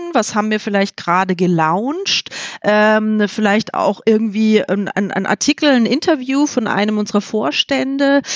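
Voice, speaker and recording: This is a normal speaking voice. It moves at a fairly slow pace. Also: woman, fairly high pitch for a woman, lively intonation. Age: 40s. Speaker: HR specialist. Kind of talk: podcast interview.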